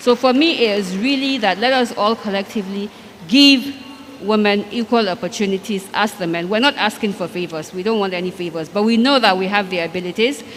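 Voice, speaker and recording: Noticeable background noise sits behind a woman speaking at a fairly quick pace. Her pitch is medium, with ordinary variation. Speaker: banker and former state commissioner. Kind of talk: panel discussion.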